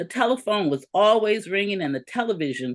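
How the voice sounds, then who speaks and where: A woman's voice with vocal fry swings very widely in pitch against a quiet background. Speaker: essayist and teacher. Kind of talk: reading aloud. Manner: loud.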